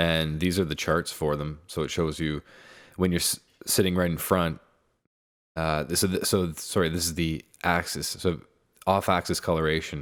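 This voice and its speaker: A soft-spoken man with a very deep, low voice talks at a moderate pace in a monotone, flat delivery. Long, frequent pauses break his speech on a very clean recording with a silent background. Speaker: music producer. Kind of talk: tutorial. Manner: halting.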